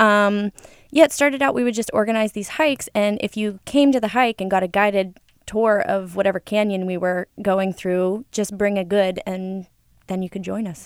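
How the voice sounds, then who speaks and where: A plain, everyday voice from a woman, medium in pitch, at a moderate pace with ordinary pitch variation. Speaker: volunteer group board member. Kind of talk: radio interview. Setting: studio.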